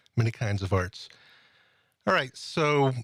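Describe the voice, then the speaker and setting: A man with an American accent speaks at a moderate pace with lively intonation. The recording is very clean, with a silent background. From Springfield, Massachusetts. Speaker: podcast host. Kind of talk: interview.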